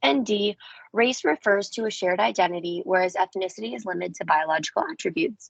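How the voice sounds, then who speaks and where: At a very fast pace, a woman of medium pitch speaks with vocal fry and very wide pitch swings. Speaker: nursing exam tutor. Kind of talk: tutorial. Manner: hesitant, many fillers.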